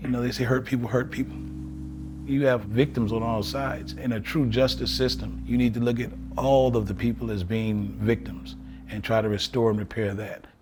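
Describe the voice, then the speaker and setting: Over background music, a man with an American accent speaks at a moderate pace in a fairly low voice that swings very widely in pitch. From Evanston, Illinois. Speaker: formerly incarcerated advocate. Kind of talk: interview answer.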